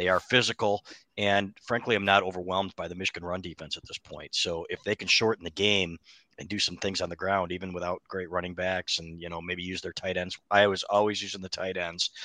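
Against a quiet background, a bright, sharp voice talks at a fairly quick pace with flat, monotone intonation and a dry, close sound that has no echo. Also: man, very deep, low pitch for a man. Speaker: sports writer. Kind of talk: sports preview podcast chat.

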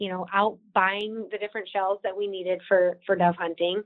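A woman speaks with an Upper Midwest accent. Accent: Upper Midwest American. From South Dakota, Watertown. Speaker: state wildlife agency marketing director. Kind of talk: podcast interview.

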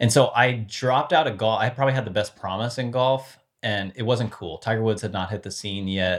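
A man's normal speaking voice at medium pitch, in an American accent, fairly quick with hardly any pauses and ordinary pitch variation. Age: 40s. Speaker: former sports brand marketing executive. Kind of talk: interview conversation.

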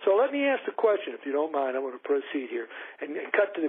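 Talking at a very fast pace with an American accent, this man swings his pitch very widely. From Kentucky. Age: 70s. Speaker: caller. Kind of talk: phone-in question. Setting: phone call.

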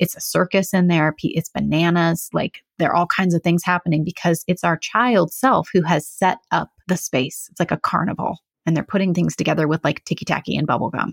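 A woman's fairly low voice with an American accent, fairly even intonation, very even loudness and hardly any pauses, in a very clean, dry, close recording with a silent background and no echo. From California. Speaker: hypnotherapist. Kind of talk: interview conversation.

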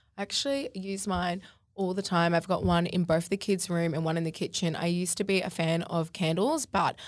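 In an Australian accent, a woman speaks at a fairly low pitch and a fairly quick pace with fairly even intonation. The recording is very clean, with a silent background. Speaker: podcast co-host, social media influencer. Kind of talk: casual chat.

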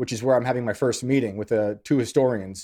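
A man's dark, mellow voice in a New York accent. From New York, US. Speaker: author and journalist.

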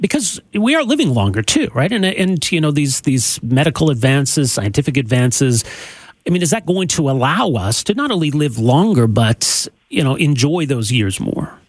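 In a Canadian accent, the voice swings very widely in pitch and sounds somewhat breathy. Its loudness stays very even throughout. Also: man, fairly high pitch for a man, moderate pace. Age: 40s. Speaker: radio host. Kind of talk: interview. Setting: studio.

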